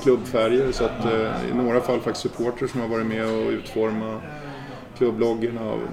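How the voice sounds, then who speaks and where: A man talks at a moderate pace, with audible room echo and music playing in the background. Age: 50s. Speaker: football association secretary general. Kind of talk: casual interview.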